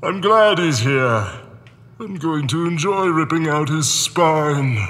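A man uses a put-on character voice with a fairly high pitch. He talks at a fairly slow pace with lively intonation. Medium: stage.

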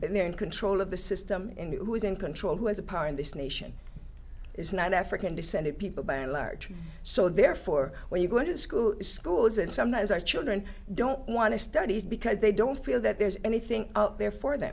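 Vocal fry marks this woman's voice as she speaks with lively intonation. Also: fairly quick pace. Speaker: teacher. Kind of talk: panel discussion. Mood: earnest, engaged. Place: studio.

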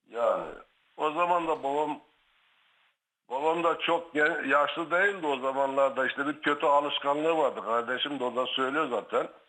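Speaking at a moderate pace, a man with a fairly high pitch and a bright, sharp tone keeps his intonation fairly even. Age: 60s. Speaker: caller, brother of guest. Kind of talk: phone-in testimony.

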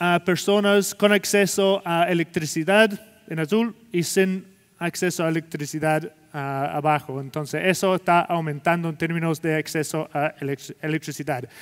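A man speaks with an English accent at a fairly slow pace. His high voice has ordinary pitch variation. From Scotland. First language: English (speaking Spanish). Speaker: sustainability executive and keynote speaker; keynote speaker. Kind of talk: conference keynote presentation. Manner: halting, many fillers. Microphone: headset.

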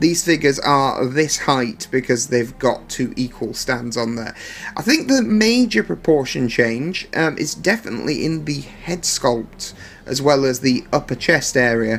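Over light background noise, a man talks at a fairly slow pace with lively intonation. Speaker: collectible figure reviewer. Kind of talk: product comparison review. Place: home room. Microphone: phone near.

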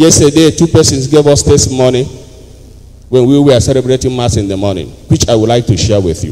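With a Nigerian accent, the voice has an animated tone and ordinary pitch variation. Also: man, fairly quick pace. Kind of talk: homily. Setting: church with congregation. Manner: animated, call-and-response preacher; formal, teaching tone. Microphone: handheld.

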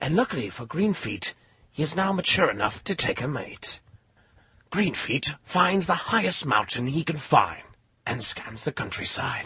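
A raspy, put-on character voice swings very widely in pitch. It moves along at a moderate pace. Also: man. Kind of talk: nature documentary narration. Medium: cartoon. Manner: hushed, admiring, dryly comic.

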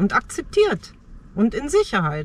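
A woman talks at a fairly slow pace with light background noise and a dry sound with no echo. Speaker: car-dwelling nomad vlogger. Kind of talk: casual vlog chat. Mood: reflective, personal storytelling. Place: car. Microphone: phone near.

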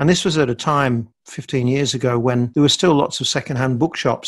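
Medium-pitched male voice in an Australian accent with ordinary pitch variation. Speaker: podcast co-host and hypnotherapist. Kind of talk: casual chat.

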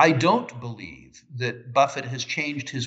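A man's bright, sharp tone at a fairly slow pace against a quiet background. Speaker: remote interview guest. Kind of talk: interview answer. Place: home room. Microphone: video call.

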